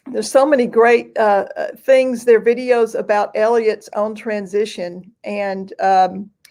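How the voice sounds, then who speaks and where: A woman's fairly high voice in a Southern accent, fairly slow and fairly even in intonation, on a very clean recording with a silent background. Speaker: host of a songwriting livestream. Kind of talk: casual interview chat; sales pitch.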